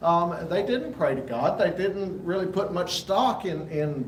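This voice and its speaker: A man with a Southern US accent speaks at a moderate pace. Audible room echo and noticeable background noise surround him. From US South, rural Alabama. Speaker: Bible class teacher. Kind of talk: lecture. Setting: church fellowship hall. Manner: halting, frequent fillers.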